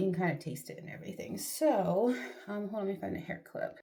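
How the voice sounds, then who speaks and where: A woman whispers at a very fast pace. Audible room echo surrounds her voice. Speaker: vlogger. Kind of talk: casual chat. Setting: bathroom. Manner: whispering at first; chatty, rambling filler words.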